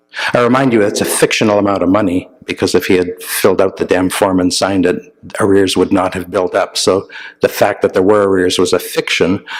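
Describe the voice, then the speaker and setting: A man speaks in a Canadian accent at a fairly quick pace. Noticeable background noise runs behind him. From Northern Ontario, Canada. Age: middle-aged. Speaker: journalist and columnist. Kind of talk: guest talk at church. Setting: church. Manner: hesitant, many fillers.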